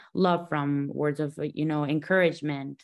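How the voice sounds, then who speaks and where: Recorded very cleanly against a silent background, a woman speaks in a very deep, low voice with monotone, flat intonation. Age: 30s. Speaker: podcast host and boxer. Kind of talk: interview.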